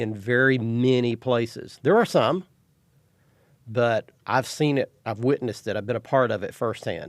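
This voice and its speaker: In a very clean recording with a silent background, a man talks at a moderate pace and medium pitch, the sound dry and close with no echo. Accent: Texan. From Texas. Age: 60s. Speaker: fishing TV show host. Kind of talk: casual interview chat.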